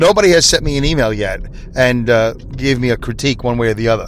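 A man's medium-pitched voice with a Brooklyn accent. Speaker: podcast host. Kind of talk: casual monologue. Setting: in a car, driving. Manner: rambling, improvised.

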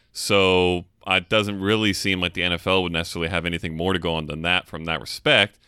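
A man with an American accent and a very deep, low pitch speaks very fast with hardly any pauses, fairly even intonation and a bright, sharp tone on a very clean recording with a silent background. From California. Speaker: fantasy football podcast co-host. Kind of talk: casual chat.

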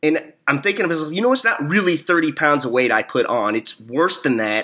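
A man speaks in an American accent with a bright, sharp tone, lively intonation and a fairly quick pace. The recording is very clean, with a silent background. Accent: Southern-tinged Midwest, hillbilly-like. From Missouri. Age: 40s. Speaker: podcast host. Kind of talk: casual interview chat.

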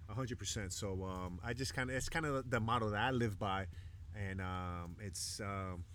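A man with a Chicago accent speaks at a fairly low pitch. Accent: Chicago American English. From Chicago South Side, Mexican American. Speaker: professional baseball pitcher. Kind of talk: casual chat. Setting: outdoors on a beach.

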